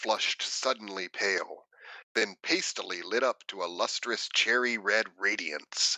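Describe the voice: Against a quiet background, the speaker does a plain reading aloud.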